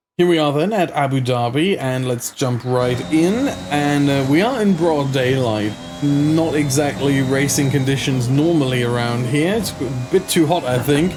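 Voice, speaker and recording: A man's fairly high voice with ordinary pitch variation at a moderate pace, with audible room echo and noticeable background noise. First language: not English. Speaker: sim racing gaming YouTuber. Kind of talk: gameplay commentary. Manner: casual, conversational with fillers.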